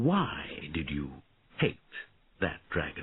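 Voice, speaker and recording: A man puts on a character voice, very deep and low in pitch, and speaks quietly. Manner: quiet, gentle.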